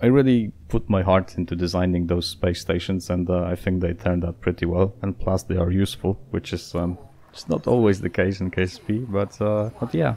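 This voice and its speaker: A man speaks in a very deep, low voice with a dark, mellow tone. He goes at a fairly quick pace with fairly even intonation and hardly any pauses. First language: Polish. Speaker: gaming YouTuber. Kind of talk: casual Q&A channel update. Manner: hesitant, many fillers.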